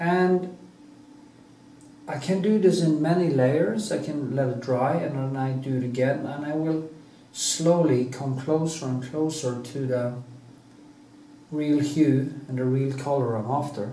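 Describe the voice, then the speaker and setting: Speaking at a fairly slow pace with long, frequent pauses, a man with a fairly high voice is heard through audible room echo and noticeable background noise. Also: ordinary pitch variation. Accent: non-native. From Norway. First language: Norwegian. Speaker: painter. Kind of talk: casual monologue; painting tutorial. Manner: halting.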